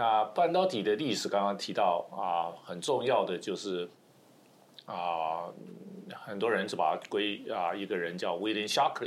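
This man speaks in a normal speaking voice at a fairly low pitch. His pace is fairly slow, with ordinary pitch variation. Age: 60s. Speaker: semiconductor engineer and professor. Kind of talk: interview.

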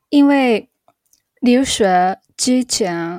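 A woman with a Japanese accent, her tone dark and mellow, her pitch varying in the ordinary way, in a dry, close sound with no echo. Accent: Japanese-accented Mandarin. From Japan, Chiba. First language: Japanese (speaking Chinese). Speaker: Japanese teacher and YouTuber. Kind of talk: interview. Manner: halting.

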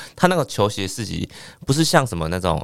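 A man speaks at a moderate pace with very wide pitch swings, captured in a very clean recording against a silent background. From Taiwan, Penghu islands. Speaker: stand-up comedian. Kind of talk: casual chat. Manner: calm, low-key.

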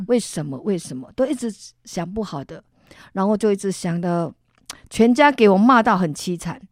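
A woman talks at a moderate pace with a medium pitch and lively intonation. The recording is very clean, with a silent background. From Taiwan, Tainan. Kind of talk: testimony. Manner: animated.

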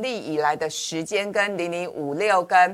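Moderate-paced talk from a woman, with noticeable background noise behind it. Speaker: financial commentator. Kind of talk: finance talk show discussion.

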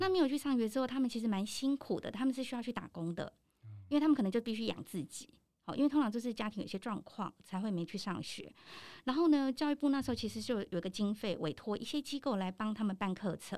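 A woman's very fast, lively speech at a fairly high pitch, on a very clean recording with a silent background. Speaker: professional trainer and lecturer. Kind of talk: casual interview. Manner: animated, laughs often.

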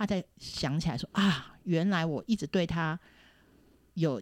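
A woman speaks at a fairly low pitch, the sound dry and close with no echo. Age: 40s. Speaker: film industry worker. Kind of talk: casual chat. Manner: animated.

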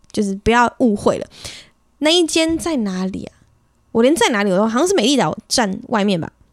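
With a Taiwanese accent, a woman talks at a fairly quick pace between long, frequent pauses, her fairly high pitch swinging very widely. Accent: Taiwanese Mandarin. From Taiwan, Sanxia (New Taipei). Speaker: podcast host. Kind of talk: casual solo monologue. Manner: chatty, code-switches into English.

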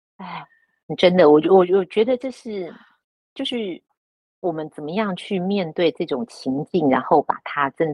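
A woman with an unremarkable speaking voice, fairly low in pitch, lively in intonation, fairly slow, with big swings in loudness. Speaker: retired newspaper journalist. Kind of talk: casual chat.

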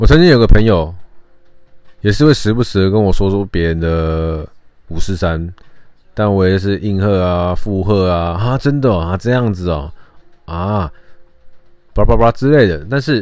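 A man's very deep, low voice at a fairly slow pace, broken by long, frequent pauses. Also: lively intonation. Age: 30s. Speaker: podcast host. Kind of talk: casual monologue. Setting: home recording.

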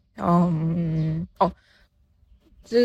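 A woman speaks in a somewhat breathy voice. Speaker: podcast host and novice art teacher. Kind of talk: casual solo monologue. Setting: outdoors, walking near fields. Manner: halting, with many fillers.

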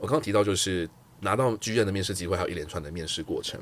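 Fairly quick speech from a man, an unremarkable speaking voice pitched fairly low. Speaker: career guest, customer success lead. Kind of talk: casual interview chat.

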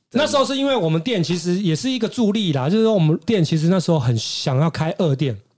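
With hardly any pauses and a very fast pace, a man talks in a high voice whose pitch swings very widely while the loudness stays very even. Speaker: hairstylist. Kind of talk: casual chat.

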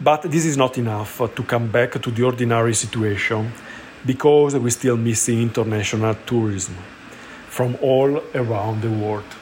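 Against noticeable background noise, a man with a medium pitch speaks at a fairly slow pace, his intonation fairly even. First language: Italian (speaking Chinese). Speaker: cosmetics shop manager. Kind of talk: recorded voice message.

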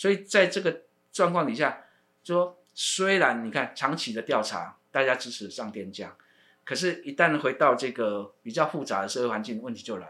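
On a very clean recording with a silent background, a man with a bright, sharp tone talks at a moderate pace, using very wide pitch swings and big swings in loudness. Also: medium pitch for a man. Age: 50s. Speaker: university research center director, sociologist. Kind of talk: interview. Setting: studio. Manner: hesitant, many fillers and repetitions.

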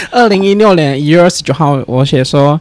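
A man's normal speaking voice, fairly high in pitch, with ordinary pitch variation at a moderate pace. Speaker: podcast guest. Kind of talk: casual chat.

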